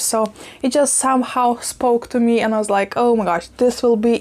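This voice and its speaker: A woman's monotone, flat delivery at a moderate pace. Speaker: plant vlogger. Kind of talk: casual vlog chat. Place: kitchen. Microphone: lapel.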